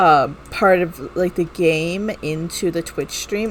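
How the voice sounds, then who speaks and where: A woman's fairly low voice with ordinary pitch variation, a very slow pace and noticeable background noise. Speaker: video game streamer. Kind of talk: live game stream commentary. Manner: loud.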